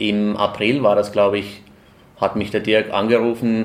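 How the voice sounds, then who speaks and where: A man speaks at a fairly slow pace in a fairly low pitch. His intonation is monotone and flat. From Finland. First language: Finnish (speaking German). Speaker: opera répétiteur. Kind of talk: casual interview.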